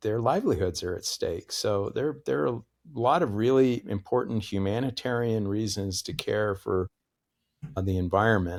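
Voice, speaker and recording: A plain, everyday voice from a man with an American accent, fairly low in pitch, with ordinary pitch variation, moderate pace and a very clean recording with a silent background. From US Northeast, Connecticut. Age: 60s. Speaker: professor. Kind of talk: interview conversation.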